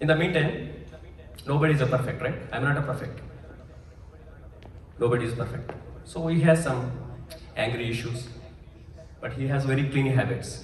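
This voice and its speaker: With a Telugu accent, a man speaks at medium pitch and a moderate pace with fairly even intonation and long, frequent pauses, over noticeable background noise and audible room echo. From India, Andhra Pradesh village. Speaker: pastor. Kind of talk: testimony.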